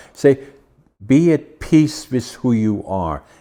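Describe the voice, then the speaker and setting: The speech comes in a Dutch accent with ordinary pitch variation. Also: man. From Netherlands. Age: 80s+. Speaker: podcast host. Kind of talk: interview conversation.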